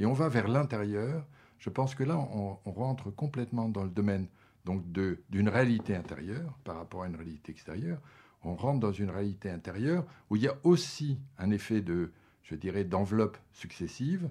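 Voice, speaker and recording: Lively in intonation, a man with a dark, mellow tone and fairly low pitch talks at a moderate pace in a very clean recording with a silent background. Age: 60s. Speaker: sculptor and academy member hosting an interview. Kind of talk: interview conversation about art. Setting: indoor recording at the academy premises. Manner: halting, many hesitations and repetitions.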